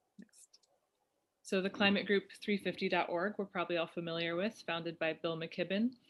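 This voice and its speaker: Speaking at a moderate pace, a woman with an American accent keeps a medium pitch and fairly even intonation. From US West Coast, Oakland. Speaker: climate activist and musician. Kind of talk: presentation. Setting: video call.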